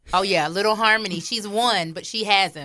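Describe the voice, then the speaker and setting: Bright, sharp tone with ordinary pitch variation. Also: woman. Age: 30s. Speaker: marriage ministry leader. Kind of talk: radio interview.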